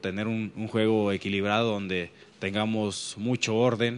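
The voice belongs to a man and is pitched fairly low. It stays monotone, with flat intonation. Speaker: football player or coach. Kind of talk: interview answer. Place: hall. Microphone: handheld.

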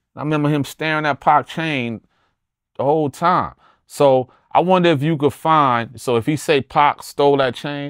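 A man with an American accent, medium pitch, animated tone and moderate pace, with a dry sound with no echo and a quiet background. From New Jersey. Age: 40s. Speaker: rapper. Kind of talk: interview storytelling. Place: studio.

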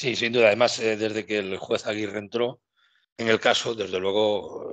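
A man's monotone, flat intonation at a moderate pace, dry sound with no echo, and a quiet background. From Spain, Galicia. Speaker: youtube channel host. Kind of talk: casual interview. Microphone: headset.

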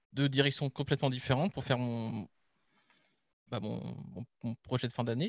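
A man's voice is heard with a dry sound and no echo. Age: 20s. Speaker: game art student. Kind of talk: project presentation. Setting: online live stream. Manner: hesitant, many fillers. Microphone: video call.

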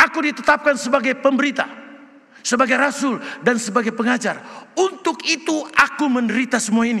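A man speaks at a fairly quick pace in an extremely high, raised and projected voice. His tone is animated, with ordinary pitch variation. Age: 70s. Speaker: retired pastor. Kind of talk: sermon. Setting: church. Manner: loud. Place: church. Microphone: podium.

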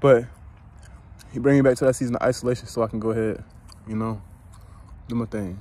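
Very fast delivery broken by long, frequent pauses, dark and mellow in tone, with fairly even intonation and a dry sound with no echo. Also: man, medium pitch for a man. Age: 20s. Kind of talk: informal devotional talk. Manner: casual, frequent laughing. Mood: reflective, encouraging. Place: open country. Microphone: phone near.

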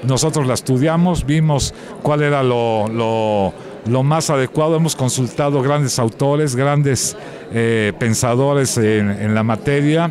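At a very slow pace and with very even loudness, a man speaks in a dry sound with no echo, noticeable background noise behind him. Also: ordinary pitch variation. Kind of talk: interview answer. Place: hall. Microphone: handheld.

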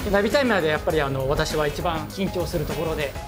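Music plays in the background as the speech runs at a fairly quick pace. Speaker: watch polishing craftsman. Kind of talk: explaining work on camera.

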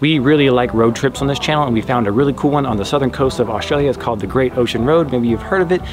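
A man rushes along at a very fast pace with ordinary pitch variation, and noticeable noise sits in the background. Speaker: travel vlogger. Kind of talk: casual vlog chat. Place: garden.

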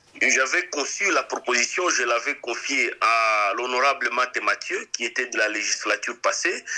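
A man talks at a fairly slow pace with very even loudness and hardly any pauses. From DR Congo. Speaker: lawyer and politician; interview guest. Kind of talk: interview. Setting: remote interview. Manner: halting. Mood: calm, serious. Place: studio. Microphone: studio mic.

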